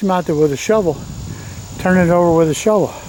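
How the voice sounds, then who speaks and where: There is noticeable background noise as a man with an American accent speaks at a high pitch with ordinary pitch variation. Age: 70s. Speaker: gardening youtuber. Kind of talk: casual gardening tutorial. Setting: outdoors in a garden. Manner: casual, folksy.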